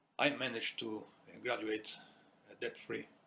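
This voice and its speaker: A man with an Italian accent and vocal fry, at a fairly quick pace. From Italy. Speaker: small business owner. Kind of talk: personal testimony.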